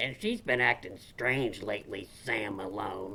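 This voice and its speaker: Over clear background noise, a man puts on a raspy character voice at a fairly low pitch. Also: moderate pace, ordinary pitch variation. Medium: comedy sketch.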